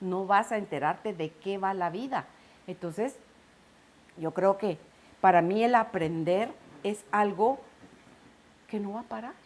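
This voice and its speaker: A woman of medium pitch speaks at a fairly slow pace with ordinary pitch variation and long, frequent pauses. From Guatemala. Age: 60s. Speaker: broadcaster giving faith testimony. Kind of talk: testimony.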